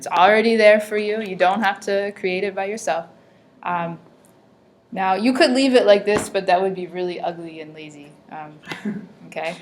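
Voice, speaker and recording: Over noticeable background noise, a woman at a medium pitch speaks at a moderate pace with ordinary pitch variation, big swings in loudness and long, frequent pauses. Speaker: teacher. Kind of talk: classroom lesson.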